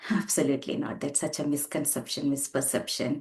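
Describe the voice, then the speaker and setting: The speaker has a Tamil accent and a somewhat breathy voice. The pace is fairly quick, with ordinary pitch variation. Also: woman. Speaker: spiritual teacher. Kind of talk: spiritual talk. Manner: halting.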